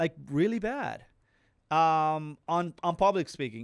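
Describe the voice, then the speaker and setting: On a very clean recording with a silent background, a man with a Latin American accent speaks fairly high, with ordinary pitch variation. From Dominican Republic. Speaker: real estate investor. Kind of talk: casual interview. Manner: repetitive, some self-corrections.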